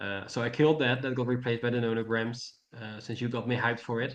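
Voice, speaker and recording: A man talks with monotone, flat intonation. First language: not English. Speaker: mentee. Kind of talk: mentoring session chat. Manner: halting, many fillers.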